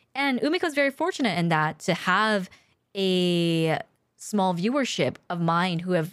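A woman with an unremarkable speaking voice, medium in pitch, talking at a moderate pace with lively intonation. The recording is very clean, with a silent background. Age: 30s. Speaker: streamer and podcast co-host. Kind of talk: casual chat. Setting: live stream.

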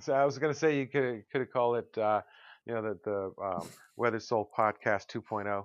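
With a plain, everyday voice, a man speaks at a medium pitch and a fairly quick pace with ordinary pitch variation, the sound dry and close with no echo over a quiet background. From Connecticut, US. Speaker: podcast co-host. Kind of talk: casual chat. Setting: online recording session.

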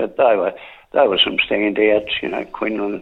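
A man with an Australian accent. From Drouin, Gippsland, Victoria, Australia. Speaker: sports journalist. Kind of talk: radio interview.

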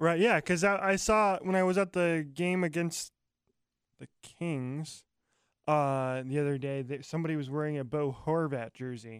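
In a very clean recording with a silent background, a man talks at a moderate pace, his pitch fairly high with ordinary variation. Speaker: sports podcast co-host. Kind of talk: casual chat. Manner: loud.

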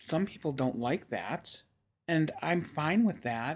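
A woman speaks very slowly in a very deep, low pitch. The recording is very clean, with a silent background. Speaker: podcast host. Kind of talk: casual chat.

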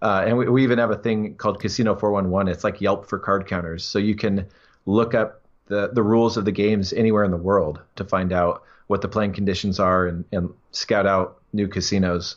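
A fairly quick, monotone delivery with flat intonation, in an American accent. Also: man, fairly low pitch for a man. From US, Washington State. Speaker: professional card counter. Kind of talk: interview.

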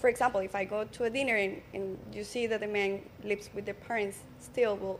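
Someone speaks at a fairly quick pace in a Colombian accent, with fairly even intonation. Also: woman, medium pitch for a woman. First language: Spanish. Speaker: social media coach. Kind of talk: casual panel chat.

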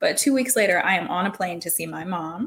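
A woman's somewhat breathy voice moves at a fairly quick pace with lively intonation. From Hawaii. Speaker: podcast co-host. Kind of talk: casual chat.

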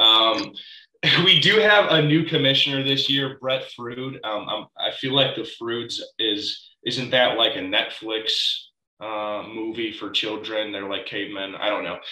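A man at a fairly slow pace with ordinary pitch variation and audible room echo. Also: medium pitch for a man. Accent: American. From Chicago suburbs, Illinois. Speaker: podcast co-host. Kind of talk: casual chat.

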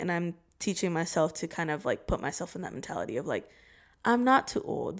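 An unremarkable speaking voice from a woman with an American accent, medium pitch and moderate pace. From Oregon, US. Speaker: TikTok creator. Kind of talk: casual chat.

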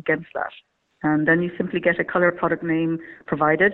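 A woman is speaking. Her pace is fairly quick. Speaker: marketing head. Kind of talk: interview.

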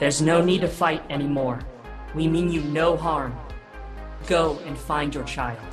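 Clear music plays in the background as a man uses a put-on character voice. It is breathy and fairly high in pitch, delivered at a moderate pace. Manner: calm, soothing.

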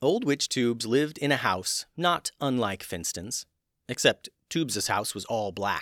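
Text is read aloud plainly, the intonation lively. Behind the voice, the background stays quiet.

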